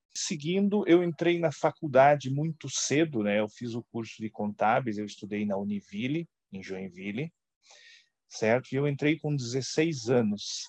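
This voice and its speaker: Against a quiet background, a man with an unremarkable speaking voice talks at a fairly slow pace and medium pitch, with lively intonation. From Santa Catarina, southern Brazil. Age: 40s. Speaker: former finance executive. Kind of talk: interview.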